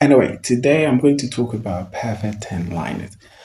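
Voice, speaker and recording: A man talks with lively intonation and a somewhat breathy voice. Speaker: BL series reviewer. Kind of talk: casual video review. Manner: casual, repetitive with filler words.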